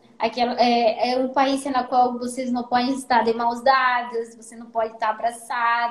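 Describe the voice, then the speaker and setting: A woman's high voice in a Spanish accent, at a moderate pace with hardly any pauses and monotone, flat intonation. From Peru. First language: Spanish (speaking Portuguese). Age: 20s. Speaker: golf caddie. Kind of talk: casual live-stream interview. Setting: Instagram live stream.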